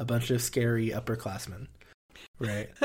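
The speaker is a man with a somewhat breathy voice. His pitch lands in the middle range. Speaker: podcast co-host, university student. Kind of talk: casual chat.

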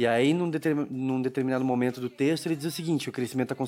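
Ordinary pitch variation and a fairly quick pace in a man's plain, everyday voice. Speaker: podcast host. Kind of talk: casual chat; scripted narration.

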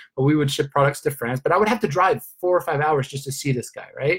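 A man talks at a very fast pace in a fairly high, somewhat breathy voice with very wide pitch swings. His tone is enthusiastic. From Sweden. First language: Swedish. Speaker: network marketing leader. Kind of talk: motivational training call.

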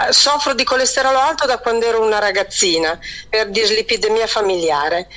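Lively intonation in a woman's plain, everyday voice, pitched fairly high. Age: 50s. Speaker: caller. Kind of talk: phone-in question.

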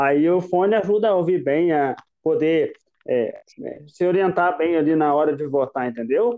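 This man speaks at a moderate pace in a high pitch, with ordinary pitch variation. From Brazil, southern Minas Gerais (Itajubá). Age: 20s. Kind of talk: faith testimony.

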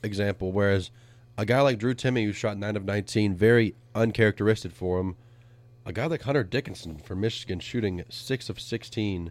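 At a fairly quick pace, a man with a plain, everyday voice speaks in a fairly low pitch in a very clean recording with a silent background. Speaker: sports radio host. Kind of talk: casual sports banter. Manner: playful, teasing.

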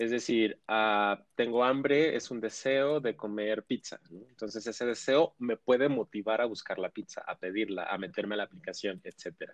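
A man with an ordinary speaking voice, medium pitch and ordinary pitch variation at a moderate pace. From Mexico, Ciudad Juárez. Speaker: sexologist. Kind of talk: expert interview.

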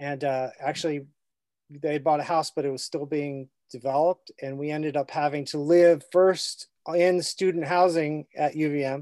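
A man speaks at a moderate pace in a fairly high pitch, dark and mellow in tone, with monotone, flat intonation. The sound is dry and close with no echo, over a quiet background. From Vermont. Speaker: author and illustrator. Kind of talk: interview. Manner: halting, many fillers.

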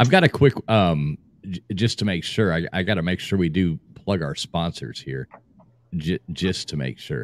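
A man's very deep, low pitch carries vocal fry. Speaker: podcast host. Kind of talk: casual chat. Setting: video call.

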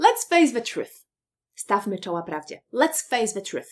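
Very wide pitch swings in a Polish accent. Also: woman. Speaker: English teacher. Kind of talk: tutorial. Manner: animated.

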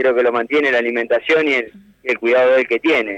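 A man talks very fast in a dry, close recording with no echo. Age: 40s. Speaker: professional footballer. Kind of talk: radio interview. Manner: halting, repeats words.

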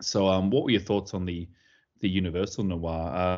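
An Australian accent at a moderate pace over a quiet background. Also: man. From Sydney, Australia. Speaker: podcast host. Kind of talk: casual chat.

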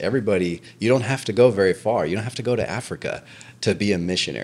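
In a normal speaking voice, a man speaks at a fairly quick pace, his fairly low pitch having ordinary variation. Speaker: podcast co-host. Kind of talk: casual interview. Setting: on-site office building.

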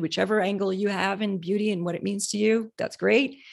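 A woman at a medium pitch and moderate pace, in an ordinary speaking voice, on a very clean recording with a silent background. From Canada. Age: 40s. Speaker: cosmetics company founder. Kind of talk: interview.

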